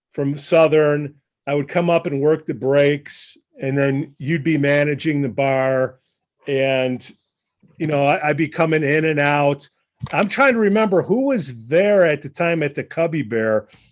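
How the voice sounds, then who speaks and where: Someone with a Chicago accent speaks at a fairly slow pace. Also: man, fairly high pitch for a man, ordinary pitch variation. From Chicago, northwest side. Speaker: podcast host. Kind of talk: casual chat.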